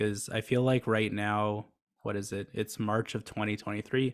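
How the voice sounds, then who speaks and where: A man speaks at a moderate pace with fairly even intonation, in a very clean recording with a silent background. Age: 20s. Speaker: startup founder. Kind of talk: podcast interview. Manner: flat, little inflection.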